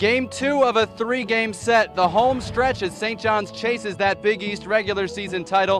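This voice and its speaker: A man's high-pitched voice with ordinary pitch variation at a moderate pace, music playing in the background. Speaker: baseball play-by-play announcer. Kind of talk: broadcast open and game intro, play-by-play voice.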